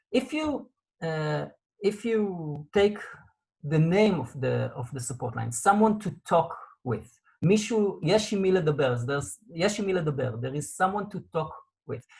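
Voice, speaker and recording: Speaking at a fairly slow pace with an Israeli accent, a man uses a high pitch with very wide pitch swings. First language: Hebrew. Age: 40s. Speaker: support line coordinator. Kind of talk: interview. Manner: halting.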